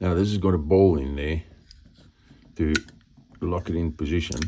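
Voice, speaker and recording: A moderate pace with a non-native accent. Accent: non-native English, says it sounds weird. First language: not English. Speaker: motorcycle DIY youtuber. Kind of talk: hands-on repair tutorial. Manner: casual, thinking aloud.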